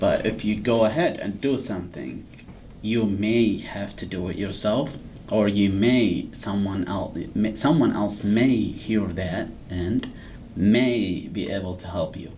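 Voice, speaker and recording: Audible room echo surrounds speech at a fairly slow pace with ordinary pitch variation. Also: man, fairly low pitch for a man. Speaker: podcast host. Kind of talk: casual chat.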